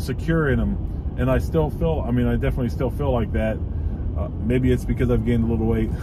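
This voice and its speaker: A man at a very deep, low pitch and a fairly quick pace, with fairly even intonation, a dry sound with no echo, and noticeable background noise. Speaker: car owner vlogger. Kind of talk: casual vlog chat. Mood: relaxed, light humor. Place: car.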